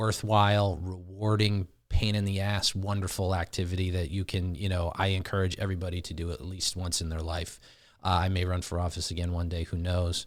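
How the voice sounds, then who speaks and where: A man with an American accent and a very deep, low pitch talks at a fairly quick pace with hardly any pauses, his intonation monotone and flat. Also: very clean recording, silent background. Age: 40s. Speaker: podcast host. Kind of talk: podcast interview.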